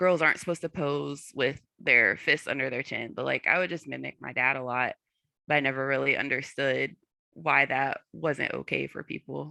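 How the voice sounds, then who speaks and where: A quiet background and a dry, close sound with no echo. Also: woman, moderate pace. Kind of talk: panel discussion. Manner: sometimes unintentionally loud.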